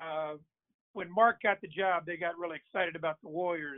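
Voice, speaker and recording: A man's high-pitched voice with fairly even intonation and an American accent. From Virginia. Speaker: TV sports producer. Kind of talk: interview. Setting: on the road.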